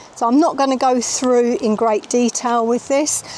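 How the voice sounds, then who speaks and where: Noticeable background noise behind a woman with a British accent, her intonation fairly even, her pace moderate. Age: 60s. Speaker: van life vlogger. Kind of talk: product walkthrough. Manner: casual, chatty.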